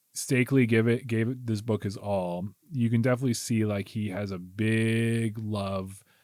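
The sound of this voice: The clip has an unforced reading voice whose intonation stays fairly even.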